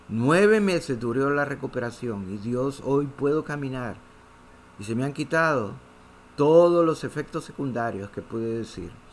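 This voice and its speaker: Speaking at a fairly slow pace, a man uses an ordinary speaking voice at a medium pitch. His intonation is lively. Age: 60s. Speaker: pastor. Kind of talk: sermon.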